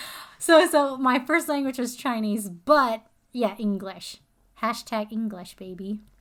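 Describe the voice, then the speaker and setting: A woman with an American accent talks fairly slowly in an ordinary speaking voice, fairly high in pitch with lively intonation, on a very clean recording with a silent background. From Arizona. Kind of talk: casual chat.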